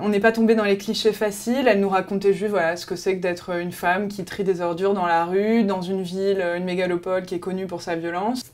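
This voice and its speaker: A woman rattles along at a very fast pace with hardly any pauses. Her medium-pitched voice stays monotone and flat. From France, with Colombian family. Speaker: travel magazine presenter. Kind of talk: promotional interview. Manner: hesitant, many fillers.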